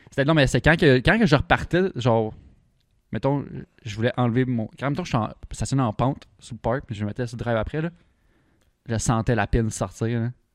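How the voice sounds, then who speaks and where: In a very clean recording with a silent background and a dry, close sound with no echo, a man with a Quebec accent speaks at a medium pitch with ordinary pitch variation and long, frequent pauses. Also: moderate pace. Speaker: car podcast host. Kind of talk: casual chat.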